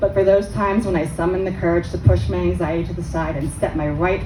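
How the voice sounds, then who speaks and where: A woman talks fairly quickly against noticeable background noise. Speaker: writer. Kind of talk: personal essay reading at live storytelling event. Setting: live event.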